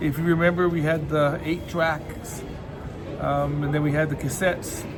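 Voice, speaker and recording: Monotone, flat speech at a moderate pace, with audible room echo and noticeable background noise. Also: man, fairly high pitch for a man. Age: 60s. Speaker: vlogger. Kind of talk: casual vlog monologue. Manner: halting, many repeated words.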